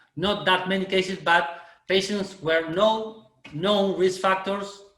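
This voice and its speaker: Over audible room echo, a man with a Spanish accent talks at a very slow pace and a high pitch. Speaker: oral medicine lecturer. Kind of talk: webinar Q&A answer. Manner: halting.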